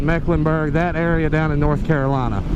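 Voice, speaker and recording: With an American accent, a man speaks amid audible room echo and noticeable background noise. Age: 20s. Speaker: motorcycle vlogger. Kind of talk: casual vlog monologue while riding. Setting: riding a motorcycle outdoors. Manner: animated.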